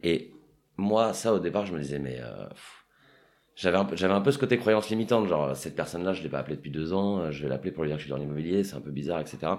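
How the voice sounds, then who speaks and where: Very fast, lively speech from a man with a very deep, low voice. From Paris, France. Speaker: real estate agent. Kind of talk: casual interview.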